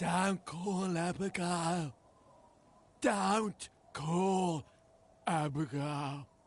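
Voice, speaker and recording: A man puts on a character voice, pitched high for a man, speaking at a very slow pace with long, frequent pauses. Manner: urgent, repeating.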